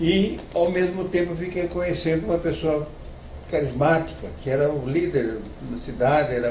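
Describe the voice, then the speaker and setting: Noticeable background noise behind a man speaking at a moderate tempo. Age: 80s+. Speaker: retired doctor. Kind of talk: interview answer.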